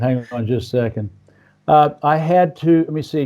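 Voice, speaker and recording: At a fairly slow pace, a man speaks in a dark, mellow tone on a very clean recording with a silent background. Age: 60s. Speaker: podcast host. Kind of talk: interview. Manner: halting.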